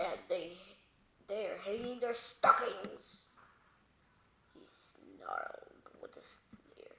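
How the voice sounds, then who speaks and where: A woman does a growling, put-on character voice with big swings in loudness. She speaks very slowly, with long, frequent pauses. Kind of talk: bedtime story reading. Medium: read story. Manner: playful, repeating words for fun.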